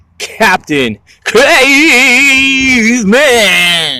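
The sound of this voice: The speaker is a man doing a put-on character voice. The pitch sits extremely high.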